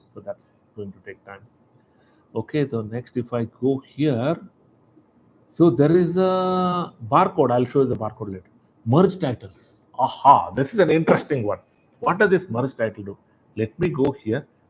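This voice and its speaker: A man speaks in a fairly high, somewhat breathy voice with very wide pitch swings. His loudness swings a lot, and he takes long, frequent pauses. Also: moderate pace. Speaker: software demonstrator. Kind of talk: tutorial. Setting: live webinar.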